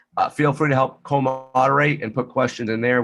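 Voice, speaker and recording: A man at medium pitch and moderate pace, with music in the background. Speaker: webinar host. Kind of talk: panel webinar moderation.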